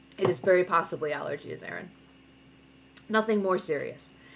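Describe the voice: With vocal fry and lively intonation, a woman talks at a fairly quick pace in a fairly low pitch.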